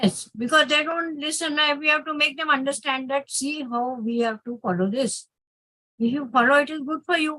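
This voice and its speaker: A woman speaks in a raised, projected voice, high in pitch, with a bright, sharp tone. Her pace is moderate. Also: ordinary pitch variation. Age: 70s. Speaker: session participant. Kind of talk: online group session. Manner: halting.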